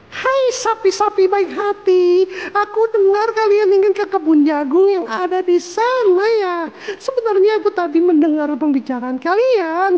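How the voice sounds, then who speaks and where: A put-on character voice sits at an extremely high pitch with a cheerful tone. It moves at a moderate pace over light background noise. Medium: read story. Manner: cheerful, eager.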